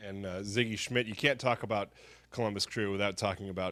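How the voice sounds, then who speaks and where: Bright and sharp in tone, a man's voice sits at a fairly low pitch with fairly even intonation. He talks at a fairly quick pace in a very clean recording with a silent background. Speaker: team website host / interviewer. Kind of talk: sports scouting report conversation.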